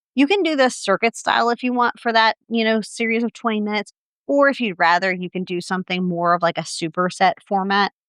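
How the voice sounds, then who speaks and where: In a dry, close recording with no echo, a woman speaks at a very fast pace. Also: medium pitch for a woman, ordinary pitch variation. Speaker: fitness coach. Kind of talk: tutorial. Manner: casual, filler-heavy.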